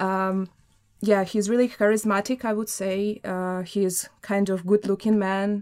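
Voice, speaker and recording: A woman with a Russian accent at medium pitch, monotone and flat, fairly slow, on a very clean recording with a silent background. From Russia (Samara). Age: 20s. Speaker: journalism student. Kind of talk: studio interview. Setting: studio.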